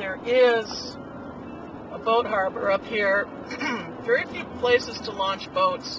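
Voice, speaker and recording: Music plays behind a man speaking at a very slow pace. The sound is dry, with no echo. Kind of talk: casual travel commentary. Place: car. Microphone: camera far.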